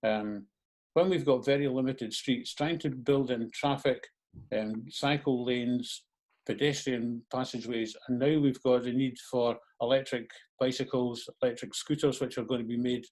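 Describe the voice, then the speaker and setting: A man with a Scottish accent, medium in pitch, with fairly even intonation at a moderate pace. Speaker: transport planning official. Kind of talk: panel presentation. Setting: online event. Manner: unscripted, with many hesitations.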